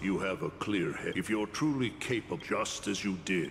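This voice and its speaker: Putting on a character voice, a man talks at a moderate pace with a fairly low pitch and very even loudness over clear background noise. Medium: video game.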